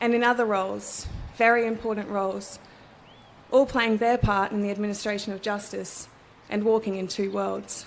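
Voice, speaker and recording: In a room with audible echo, a woman speaks at a moderate pace and medium pitch, her intonation monotone and flat. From Australia, Cairns, Far North Queensland. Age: 30s. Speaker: barrister and ceremony speaker. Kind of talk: formal ceremonial speech. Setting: courthouse ceremony with audience. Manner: formal.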